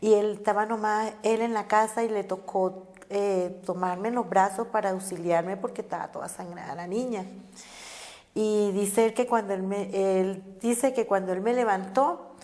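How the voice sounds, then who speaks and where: A woman talks at a moderate pace. Her pitch is medium and her intonation fairly even. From Caribbean Colombia, Cartagena. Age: 50s. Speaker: social activist. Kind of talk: life story interview. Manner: halting, with many fillers and repetitions.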